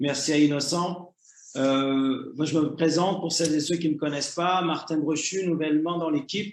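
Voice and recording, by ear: A man speaks with a Canadian French accent at a fairly high pitch and moderate pace. His intonation is fairly even, and the room echo is audible.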